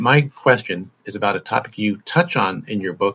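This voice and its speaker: This man has a normal speaking voice, fairly low in pitch. He keeps a moderate pace with ordinary pitch variation. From Massachusetts. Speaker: software help desk engineer. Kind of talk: recorded listener question.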